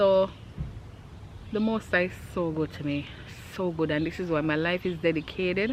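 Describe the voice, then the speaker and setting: At a moderate pace, a woman speaks with a Jamaican accent. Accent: Jamaican, speaks with thumb-sucking trace. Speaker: vlogger. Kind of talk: storytime. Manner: animated.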